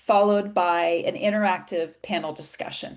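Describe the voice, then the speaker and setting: A woman with an American accent speaks at a moderate pace and medium pitch, in an unremarkable speaking voice. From USA. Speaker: patient advocacy organization president, webinar moderator. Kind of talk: webinar moderation. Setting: video call.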